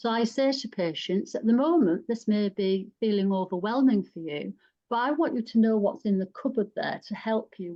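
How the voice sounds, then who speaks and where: A woman speaks with a northern English accent. Her fairly high voice has lively intonation. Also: hardly any pauses. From northern England. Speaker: psychosexual nurse specialist. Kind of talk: panel discussion.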